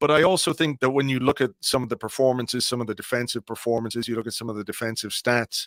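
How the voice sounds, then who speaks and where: A man's unremarkable speaking voice at medium pitch with ordinary pitch variation, dry and close with no echo, on a very clean recording against a silent background. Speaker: football podcaster and blogger. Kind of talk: casual chat.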